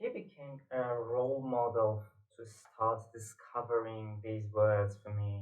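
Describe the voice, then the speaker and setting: With a Persian accent, a man speaks at medium pitch and a very slow pace. His intonation is monotone and flat, and room echo is audible. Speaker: poet and literature teacher. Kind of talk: lecture. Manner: hesitant with fillers.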